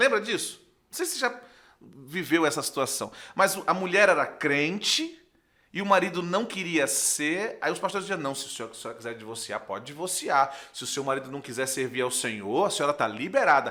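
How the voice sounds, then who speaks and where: Speaking at a fairly quick pace, a man with a fairly high pitch uses an animated, bright, sharp tone, very wide pitch swings and big swings in loudness. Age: 40s. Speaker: pastor. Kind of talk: podcast interview.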